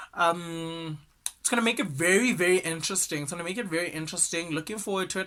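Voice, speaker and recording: Over noticeable background noise, a man speaks very fast with a high pitch. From South Africa. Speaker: entertainment news podcaster. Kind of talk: casual gossip commentary. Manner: animated.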